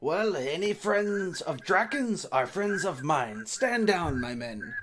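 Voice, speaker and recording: Using a put-on character voice, a man speaks at a high pitch and a fairly slow pace. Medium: actual play. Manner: blustering, threatening.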